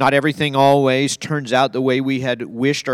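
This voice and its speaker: At a fairly quick pace, a man uses a normal speaking voice at medium pitch, on a very clean recording with a silent background. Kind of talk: fervent pastoral prayer. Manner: earnest, solemn, tender and heartfelt.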